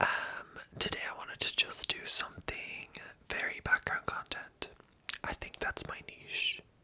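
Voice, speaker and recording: Whispering in a relaxed tone at a fairly slow pace, the speaker is heard over noticeable background noise. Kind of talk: ASMR whisper ramble. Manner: soft whispering, relaxed, rambling.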